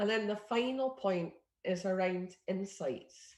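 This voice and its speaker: A woman with a Scottish accent has a dark, mellow tone. Her pitch is medium, with ordinary variation. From Scotland. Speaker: innovation network leader. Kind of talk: presentation. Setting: video call.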